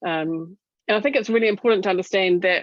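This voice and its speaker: This voice has ordinary pitch variation and a New Zealand accent. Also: woman. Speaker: doctor speaking on clinician wellbeing. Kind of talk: webinar presentation. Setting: online webinar. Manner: fast; animated.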